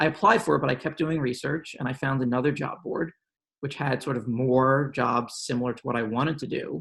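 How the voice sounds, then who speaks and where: Speaking at a fairly quick pace, a man with a medium pitch talks in a New York accent. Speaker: policy professional. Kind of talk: panel discussion.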